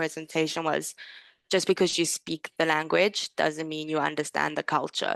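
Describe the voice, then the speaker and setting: The speaker keeps a moderate pace. The sound is dry and close with no echo, over a quiet background. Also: woman. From South Africa. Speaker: language teacher. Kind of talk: webinar discussion.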